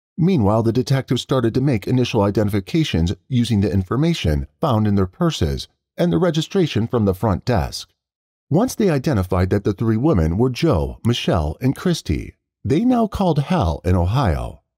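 The voice has a dark, mellow tone with vocal fry, very wide pitch swings, a fairly quick pace and very even loudness. The sound is dry and close with no echo, on a very clean recording with a silent background. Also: man, medium pitch for a man. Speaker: narrator. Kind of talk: true-crime narration. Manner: measured, dramatic, solemn storytelling pace.

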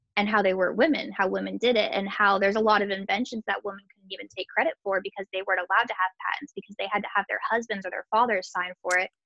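Fast and fairly even in intonation, a woman's voice has vocal fry and a fairly bright tone, with a dry, close sound with no echo. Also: medium pitch for a woman.

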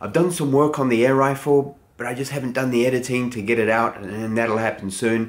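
A man speaks with ordinary pitch variation, keeping a moderate pace. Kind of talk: casual vlog chat. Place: garage.

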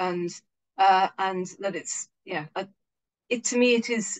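Over a quiet background, a woman with an English accent speaks in a medium pitch with ordinary pitch variation. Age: 50s. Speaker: local currency organiser. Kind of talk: online lecture with Q&A. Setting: video call. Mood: earnest, morally engaged. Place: home room. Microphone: video call.

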